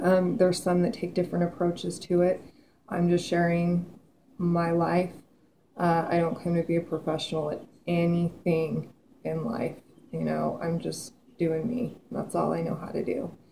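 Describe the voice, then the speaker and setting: Over light background noise, a woman speaks at a moderate pace in a fairly low voice with fairly even intonation. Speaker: vlogger. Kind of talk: casual vlog chat. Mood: earnest, reflective. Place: kitchen. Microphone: webcam.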